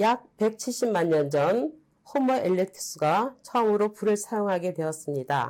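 Her medium-pitched voice swings very widely in pitch while staying very even in loudness as the woman speaks at a fairly slow pace. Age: old. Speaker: science museum exhibit docent, retired scientist. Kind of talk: museum exhibit explanation.

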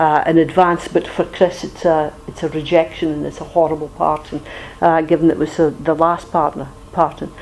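A woman speaks at a fairly quick pace with a Scottish accent and fairly low pitch. Noticeable background noise runs underneath. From Aberdeenshire, Scotland. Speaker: trade union leader. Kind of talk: talk at an educational meeting.

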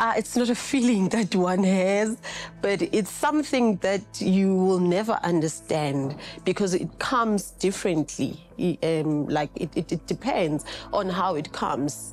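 Faint music sits in the background. A woman speaks in a fairly low voice. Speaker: interview guest. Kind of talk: interview answer. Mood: calm, reflective, some laughter. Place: studio.

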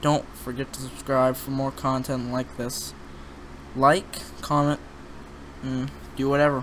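Fairly slow speech over light background noise. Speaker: gamer. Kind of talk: casual gameplay commentary outro. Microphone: webcam.

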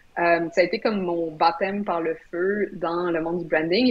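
A woman with a Quebec accent, fairly low in pitch, at a fairly slow pace with fairly even intonation. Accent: Québécois French. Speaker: brand strategist; guest. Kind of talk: live video interview. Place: home room. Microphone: video call.

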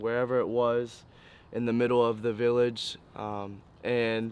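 A man speaks with a dry sound and no echo. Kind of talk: interview answer. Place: waterside.

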